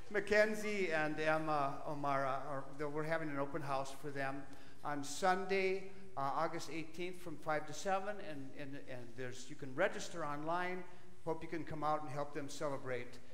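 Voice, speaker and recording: With audible room echo, a man talks at a moderate pace with ordinary pitch variation. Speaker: pastor. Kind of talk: church announcements. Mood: friendly, jovial. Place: church.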